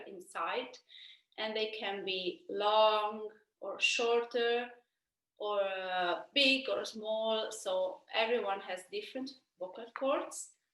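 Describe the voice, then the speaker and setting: In an Italian accent, a woman speaks at a fairly high pitch and a very slow pace with ordinary pitch variation. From Italy. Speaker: opera singer. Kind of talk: Q&A answers for school students. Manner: halting, many fillers.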